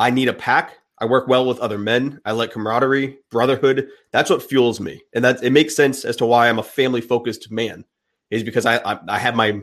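Against a quiet background, a man with an unremarkable speaking voice talks at a fairly quick pace and medium pitch. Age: 30s. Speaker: men's coach and podcaster. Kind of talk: casual chat.

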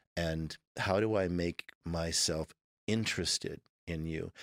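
In a very clean recording with a silent background, a man speaks with an American accent in a very deep, low voice. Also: dry, close sound with no echo. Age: 50s. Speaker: former Navy SEAL and instructor. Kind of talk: interview conversation.

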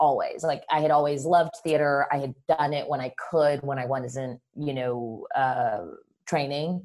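Here a woman speaks with a General American accent. Her pitch is very deep and low, and her pace is fairly slow. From New York, raised in Panama until 12. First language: Spanish. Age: 40s. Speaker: film director. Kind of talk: casual interview.

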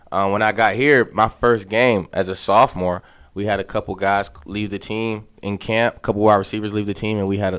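The recording is very clean with a silent background. A man speaks with an American accent. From western Pennsylvania (Aliquippa). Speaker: college football coach, former quarterback. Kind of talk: casual interview.

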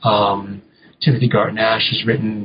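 The speaker is a man with a medium-pitched voice. There is a somewhat breathy quality to it. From New England. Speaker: English professor and author. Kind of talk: interview about his book. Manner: halting, many repeated words and fillers.

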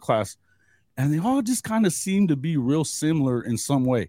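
Dark, mellow male speech, recorded dry and close without any echo. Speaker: sports media host. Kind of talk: casual sports chat. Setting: video call.

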